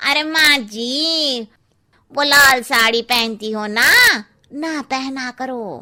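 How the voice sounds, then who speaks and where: In a cartoonish character voice, a woman speaks very slowly at a high pitch. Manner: cheeky, blunt.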